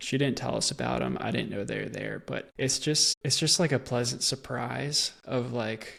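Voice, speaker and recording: A man's medium-pitched voice carries vocal fry. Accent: American. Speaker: podcast host. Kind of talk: casual interview chat.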